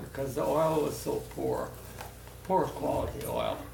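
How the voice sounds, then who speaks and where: The delivery is at a fairly slow pace. Noticeable background noise can be heard. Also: man. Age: 80s+. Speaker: war veteran, former merchant marine. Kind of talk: interview answer.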